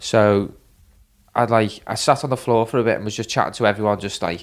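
Very fast, fairly low male speech with fairly even intonation, in a Liverpool accent. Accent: Liverpool Scouse. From Liverpool, England. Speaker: injured BMX or skate rider. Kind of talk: casual chat. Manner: rambling, storyteller.

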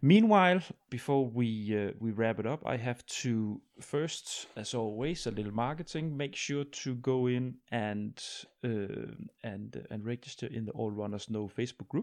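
With a Danish accent, a man speaks at a medium pitch and a fairly slow pace with ordinary pitch variation. The background is quiet. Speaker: podcast host. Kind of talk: casual interview.

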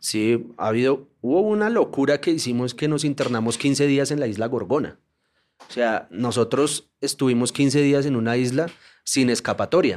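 An unremarkable speaking voice with ordinary pitch variation at a moderate pace, on a very clean recording with a silent background. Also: man, medium pitch for a man. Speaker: journalist and documentary maker. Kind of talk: casual interview conversation.

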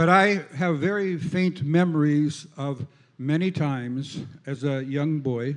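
A man speaks at a very slow pace. His pitch is fairly high, with ordinary variation. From Minnesota. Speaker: visiting preacher. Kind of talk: sermon. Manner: interpreted in short phrases with pauses.

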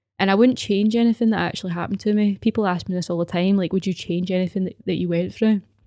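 A woman in a Glaswegian accent talks at a very fast pace with hardly any pauses and a dark, mellow tone, on a very clean recording with a silent background. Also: medium pitch for a woman, fairly even intonation, dry, close sound with no echo. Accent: Glaswegian Scottish. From Scotland, Glasgow (Govan/Paisley). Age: 20s. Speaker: podcast host, personal trainer. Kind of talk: personal testimony monologue. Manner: hesitant, many fillers.

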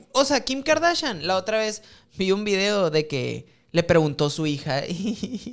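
The speaker talks at a fairly slow pace in a Mexican accent with very wide pitch swings. The recording is very clean, with a silent background. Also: man. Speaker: podcast co-host. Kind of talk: casual chat.

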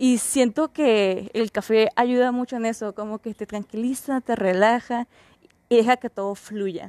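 A woman with a fairly high pitch and a dark, mellow tone talks at a fairly slow pace with fairly even intonation, recorded dry and close with no echo in a very clean recording with a silent background. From Mexico, Mexicali, Baja California. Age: 20s. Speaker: podcast host, psychology student. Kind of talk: casual monologue.

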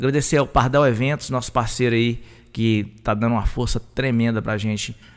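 In a very clean recording with a silent background, a man speaks in a monotone with flat intonation. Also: medium pitch for a man, moderate pace. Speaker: podcast host. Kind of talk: live podcast chat. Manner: loud.

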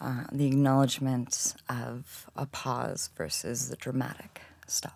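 In an American accent, a woman speaks very slowly with a very deep, low pitch and vocal fry. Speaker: technical SEO consultant. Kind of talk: interview. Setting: studio.

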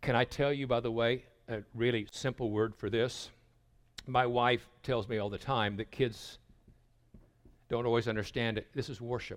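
A man at a moderate pace and medium pitch, with long, frequent pauses, on a very clean recording over a silent background. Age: 60s. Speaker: pastor. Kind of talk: sermon. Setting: stage with audience. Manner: animated.

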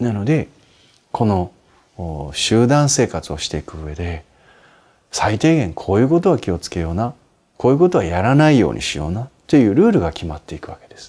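A man's fairly low, dark and mellow voice at a moderate pace, with very wide pitch swings and big swings in loudness, in a very clean recording against a silent background. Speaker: Buddhist monk answering listener questions. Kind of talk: advice talk.

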